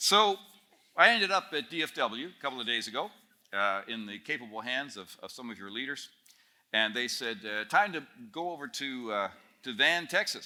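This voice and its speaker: A man with a Canadian accent speaks at a moderate pace in a medium pitch, with a bright, sharp tone and very wide pitch swings. His loudness swings widely, he takes long, frequent pauses, and the recording is very clean with a silent background. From Northern Ontario, Canada. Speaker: speaker at a student camp. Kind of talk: talk to a student audience. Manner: conversational, humorous storytelling.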